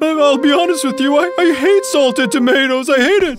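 A cartoonish character voice at a high pitch comes through with clear background noise. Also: moderate pace. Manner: polite, fussy.

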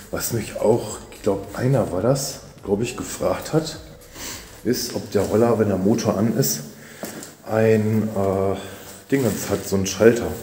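A man with fairly low pitch speaks at a fairly slow pace, with ordinary pitch variation, long, frequent pauses and big swings in loudness. Audible room echo and light background noise surround his voice. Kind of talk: casual vlog chat. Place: garage. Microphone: phone near.

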